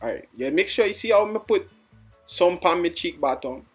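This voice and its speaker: Music plays in the background as a man speaks. He has a Jamaican accent and a moderate pace. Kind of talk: comedic voiceover of a makeup tutorial. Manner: playful, joking.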